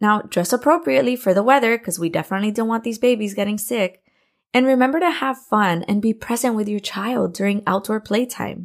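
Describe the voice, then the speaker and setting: On a very clean recording with a silent background, a woman with an American accent and an unremarkable speaking voice talks fairly quickly, fairly high in pitch, with lively intonation. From Miami, Florida. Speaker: podcast host, preschool teacher and parent. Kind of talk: scripted podcast monologue, parenting tips.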